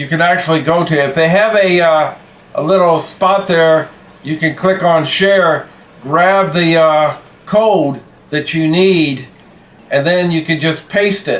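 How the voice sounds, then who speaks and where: Pitched high for a man, this male voice moves at a fairly slow pace with fairly even intonation. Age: 60s. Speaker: YouTube creator. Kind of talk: casual vlog talk. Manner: halting, with fillers and repeats.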